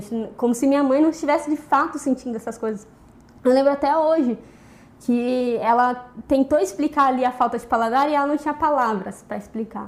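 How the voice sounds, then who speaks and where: Here a woman speaks at a high pitch. Her pace is fairly quick. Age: 20s. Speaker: biology student and teacher. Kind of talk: interview testimony.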